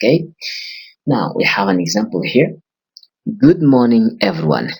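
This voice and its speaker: A man with a medium-pitched voice and vocal fry swings very widely in pitch. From Burkina Faso. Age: 20s. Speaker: English teacher. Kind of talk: language lesson.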